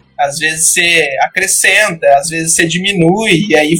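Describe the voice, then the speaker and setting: Fairly slow speech over music in the background. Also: man. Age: 20s. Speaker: psychologist. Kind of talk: casual chat. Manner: hesitant, many fillers.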